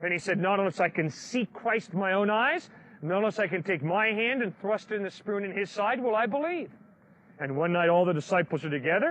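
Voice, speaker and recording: In an American accent, a man speaks with a high voice and lively intonation. His pace is fairly quick. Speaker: street preacher. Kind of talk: outdoor preaching to a crowd.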